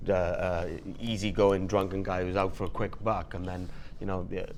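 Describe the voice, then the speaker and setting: A man speaks at a moderate pace in a monotone, flat intonation. His voice carries audible room echo. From Wales. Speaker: voice actor. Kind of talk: casual interview chat. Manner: hesitant, many repetitions.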